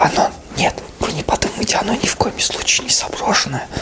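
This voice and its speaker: A man talks at a fairly slow pace. Loud background noise runs underneath. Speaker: vlogger. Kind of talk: casual comedic vlog chat. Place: home room. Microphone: phone near.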